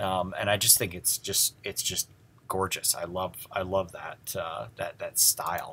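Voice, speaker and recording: At a fairly slow pace, a man speaks with a Midwestern American accent. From US Midwest. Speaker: design history teacher. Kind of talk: lecture. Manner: halting, many fillers.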